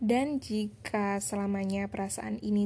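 A woman at a fairly slow pace, medium in pitch and with ordinary pitch variation. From East Java, Trenggalek. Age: young. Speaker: podcaster. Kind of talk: personal monologue. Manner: halting.

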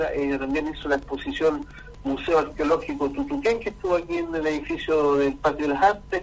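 Noticeable background noise runs under the clip. A man speaks at a fairly quick pace. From Chile, Maule region. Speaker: poet. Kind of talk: radio interview.

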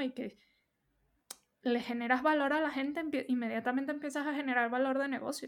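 A woman at a high pitch and fairly quick pace, fairly even in intonation, on a very clean recording with a silent background. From Venezuela. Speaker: UX researcher. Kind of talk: casual interview.

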